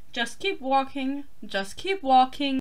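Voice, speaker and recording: High-pitched put-on character voice from a woman, delivered fairly slowly. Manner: cheerful, singsong.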